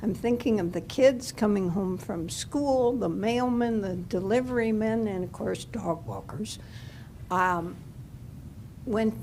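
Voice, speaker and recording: A woman speaks in a fairly high voice with ordinary pitch variation and a dark, mellow tone, and the room echo is audible. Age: 80s+. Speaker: resident, dog walker. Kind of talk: public comment at village board meeting. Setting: village board meeting.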